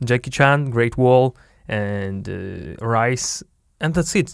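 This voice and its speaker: The recording is very clean, with a silent background. A man with a Russian accent speaks at medium pitch with ordinary pitch variation. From Siberia, Russia (Biysk). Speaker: podcast host, entrepreneur. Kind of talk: casual chat. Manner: halting, searching for words.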